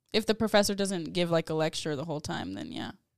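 With an American accent, a woman speaks at a very fast pace in a fairly low pitch, her voice showing vocal fry and very wide pitch swings, all on a very clean recording with a silent background. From San Antonio, Texas. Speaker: architecture student. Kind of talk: casual chat.

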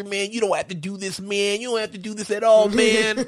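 A man puts on a character voice, pitched high. Light background noise sits behind him. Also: fairly quick pace. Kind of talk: casual comic impression of a movie character. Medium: talk show. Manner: pleading, jittery, says man constantly.

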